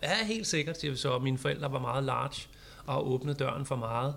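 Here is a man talking. His pace is very fast. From Copenhagen, Denmark. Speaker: social media teacher. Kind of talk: casual chat. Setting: studio.

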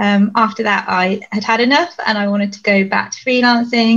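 At a moderate pace, a woman talks in an unremarkable speaking voice with a fairly high pitch. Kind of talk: panel discussion.

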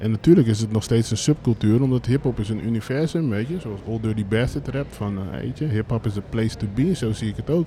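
With a dark, mellow tone and a somewhat breathy quality, a man talks fairly quickly at a medium pitch, his pitch varying in an ordinary way. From Brabant, Netherlands. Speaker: streetwear label co-founder. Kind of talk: live interview on stage. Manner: casual, many fillers.

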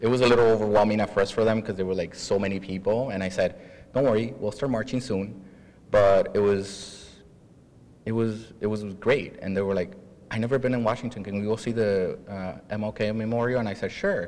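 Speaking with an American accent, a man has a normal speaking voice at a fairly low pitch. His pace is fairly quick and his intonation fairly even. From Mexico, Chicago. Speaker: professor and immigrant panelist. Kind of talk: panel discussion. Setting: stage with audience.

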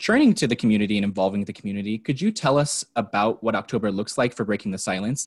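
A man's fairly low voice at a very fast pace, hardly any pauses, ordinary pitch variation, and a dry, close sound with no echo. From New Mexico (Farmington). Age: 20s. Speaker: recent graduate and youth media participant. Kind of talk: panel discussion and interview.

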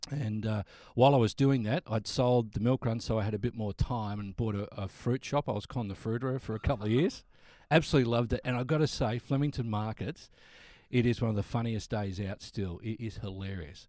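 A man with a medium-pitched voice and a dark, mellow tone speaks at a fairly quick pace with ordinary pitch variation, in a very clean recording with a silent background. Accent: Australian. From Australia. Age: 50s. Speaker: radio announcer. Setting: studio. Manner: cheerful, warm.

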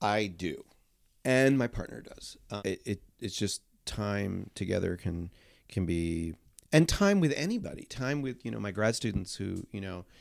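With a fairly low pitch, a man speaks at a moderate pace. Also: very clean recording, silent background. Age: 50s. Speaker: choral conductor. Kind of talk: casual interview conversation. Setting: office. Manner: energetic.

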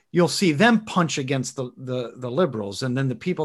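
Here a man has an unremarkable speaking voice at a medium pitch with ordinary pitch variation. He talks at a fairly quick pace against a quiet background. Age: 30s. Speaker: podcast host. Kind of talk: casual chat.

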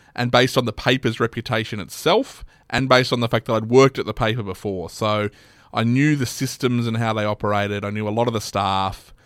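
A man with an Australian accent talks at a very fast pace and medium pitch, his intonation fairly even. The recording is very clean with a silent background, and the sound is dry and close with no echo. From western Sydney, Australia. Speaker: newspaper editor and radio broadcaster. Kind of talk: casual interview chat. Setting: studio.

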